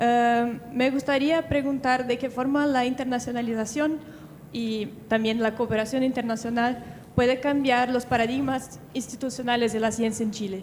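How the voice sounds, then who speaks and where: The speaker has a Portuguese accent. The pace is moderate and the intonation fairly even. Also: woman. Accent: Portuguese-accented Spanish, non-native. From Brazil. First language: Portuguese (speaking Spanish). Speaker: audience member asking a question. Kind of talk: audience question.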